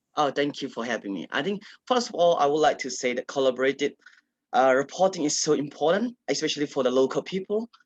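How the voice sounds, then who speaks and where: With a Burmese accent, a man of fairly high pitch talks at a very fast pace in a dry, close sound with no echo. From Kachin State, Myanmar. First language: Kachin. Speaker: writer and advocate. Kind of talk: panel discussion. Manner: halting, many fillers.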